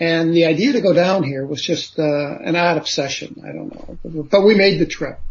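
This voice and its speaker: A man with an American accent talks at a moderate pace with hardly any pauses, his pitch high and its variation ordinary. Background noise is noticeable. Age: 60s. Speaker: author and former lawyer. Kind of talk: interview, personal testimony. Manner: casual, hesitant with fillers.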